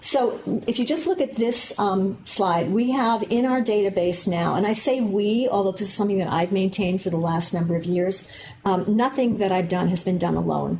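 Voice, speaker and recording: A woman's medium-pitched voice with an American accent, very even loudness and ordinary pitch variation, over noticeable background noise. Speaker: medical geneticist, professor. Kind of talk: lecture. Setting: lecture room with audience, filmed. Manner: fast.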